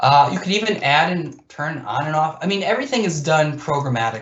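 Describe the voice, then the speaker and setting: A man speaks at a fairly quick pace with a fairly high pitch and lively intonation. His voice is somewhat breathy. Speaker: GIS presenter. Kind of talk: software demo presentation. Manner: casual with fillers and repeats.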